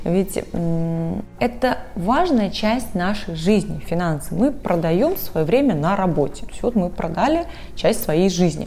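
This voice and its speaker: With music in the background and audible room echo, a woman speaks at a very slow pace, medium in pitch, with lively intonation. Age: 30s. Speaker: advertising agency business director. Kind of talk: interview.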